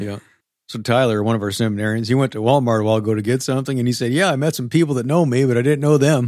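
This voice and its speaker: Over a very clean recording with a silent background, a man speaks at a very fast pace with a medium pitch and ordinary pitch variation. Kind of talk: casual chat.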